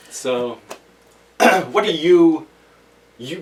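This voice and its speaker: Lively in intonation, a man speaks at a very slow pace with a fairly high pitch. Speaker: podcast host. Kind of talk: casual chat. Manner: loud.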